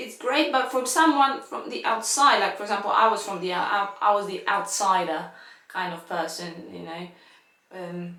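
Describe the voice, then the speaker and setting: A woman with a non-native accent speaks at a moderate pace in a medium pitch, her intonation lively. Her loudness swings widely, and the room echo is audible. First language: not English. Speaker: violinist. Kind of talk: casual chat. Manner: halting.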